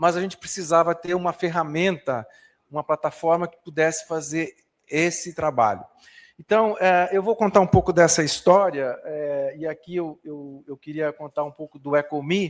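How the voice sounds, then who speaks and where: This man's fairly high voice moves at a moderate pace with ordinary pitch variation and big swings in loudness, in a dry, close sound with no echo. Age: 60s. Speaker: professor. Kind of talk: lecture. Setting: conference hall with audience, livestreamed. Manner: halting, many fillers and repetitions.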